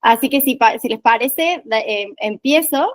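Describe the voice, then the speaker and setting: A woman talks at a high pitch. The sound is dry and close, with no echo. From Argentina, Córdoba. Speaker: workshop trainer. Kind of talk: online training session.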